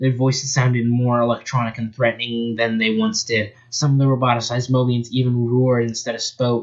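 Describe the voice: What you hear is text being read aloud plainly.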